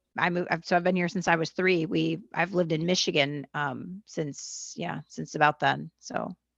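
A woman's voice shows vocal fry in a dry, close sound with no echo. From US, Los Angeles area (born in Argentina). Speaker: stand-up comedian and singer-songwriter. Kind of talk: casual interview chat. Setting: video call.

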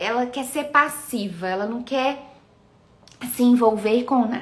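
In a Minas Gerais accent, a woman with a high pitch talks at a fairly slow pace, with audible room echo. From Minas Gerais, Brazil. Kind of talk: live stream talk on faith and meditation. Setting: live video stream.

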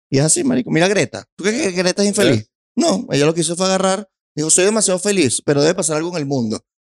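A man with a Venezuelan accent talks at a very fast pace, his high voice full of lively intonation. The sound is dry and close, with no echo. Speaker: stand-up comedian. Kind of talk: casual chat. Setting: studio.

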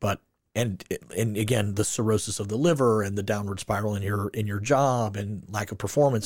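In an ordinary speaking voice, a man with an American accent talks at a fairly quick pace with a fairly low pitch and fairly even intonation, on a very clean recording with a silent background. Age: 40s. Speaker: podcast host. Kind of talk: casual interview chat.

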